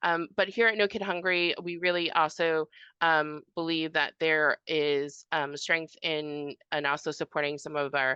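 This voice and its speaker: This woman has a fairly low pitch. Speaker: nonprofit policy advocate. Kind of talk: conference panel presentation. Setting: conference with audience. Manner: fast; hesitant, many fillers.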